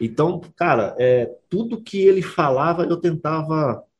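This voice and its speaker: Somewhat breathy, a man's voice carries lively intonation. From Belo Horizonte, Brazil. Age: 30s. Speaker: professional footballer. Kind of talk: interview. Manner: halting, many repetitions and fillers.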